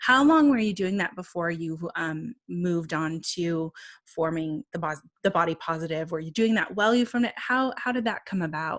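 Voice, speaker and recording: A woman talks in a plain, everyday voice, fairly low in pitch with lively intonation, at a moderate pace. The recording is very clean with a silent background. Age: 30s. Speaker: podcast host. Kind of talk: interview. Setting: podcast.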